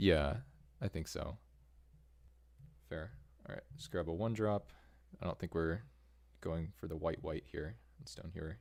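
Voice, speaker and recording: A man with a very deep, low pitch and vocal fry, with lively intonation at a moderate pace and long, frequent pauses. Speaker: Magic: The Gathering streamer. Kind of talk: casual chat while drafting. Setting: live stream. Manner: soft-spoken.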